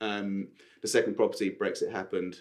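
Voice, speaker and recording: At a moderate pace, a man talks in a south London accent. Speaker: property developer and estate agent. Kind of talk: casual interview chat. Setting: studio.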